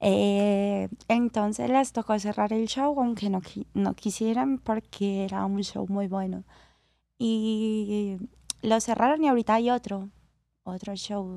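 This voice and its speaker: A woman speaks at a very slow pace in a dark, mellow tone. Her pitch is medium, with ordinary variation. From Colombia, Cali. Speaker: professional acrobatic dancer. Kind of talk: interview.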